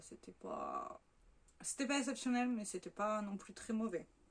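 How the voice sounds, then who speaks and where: A woman with a normal speaking voice talks at a fairly slow pace in a fairly high pitch, with ordinary pitch variation. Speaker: beauty vlogger. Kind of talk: casual product review vlog. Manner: chatty with many fillers.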